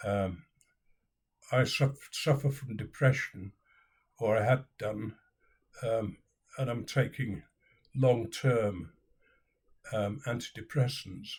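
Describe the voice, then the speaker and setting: Speaking very slowly with long, frequent pauses, a man with a medium pitch sounds somewhat breathy and varies his pitch in an ordinary way. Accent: British. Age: 70s. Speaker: video blogger. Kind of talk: personal vlog.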